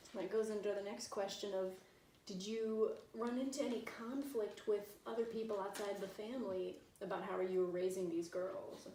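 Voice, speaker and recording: A woman's medium-pitched voice, with fairly even intonation, carries at a moderate pace through noticeable background noise. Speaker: interviewer. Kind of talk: interview questions.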